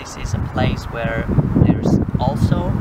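A man's voice against loud background noise, the sound dry with no echo. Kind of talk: casual group talk. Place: forest. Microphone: camera far.

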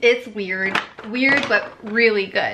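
Noticeable background noise sits behind a woman speaking with ordinary pitch variation. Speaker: beauty vlogger. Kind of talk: casual makeup tutorial chat.

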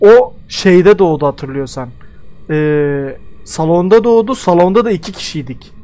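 At a fairly slow pace, a man with a dark, mellow tone speaks using lively intonation. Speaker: gaming streamer. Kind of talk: casual gameplay chat with teammate. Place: home room. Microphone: headset.

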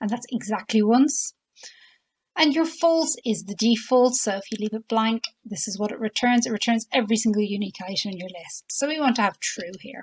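Fairly high-pitched and somewhat breathy, a woman speaks at a fairly quick pace with lively intonation and big swings in loudness. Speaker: Excel tutorial presenter. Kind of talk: software tutorial narration.

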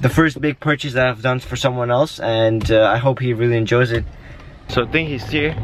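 Light background noise sits behind a man speaking. His intonation is fairly even, and the sound is dry with no echo. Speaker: vlogger. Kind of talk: casual vlog chat.

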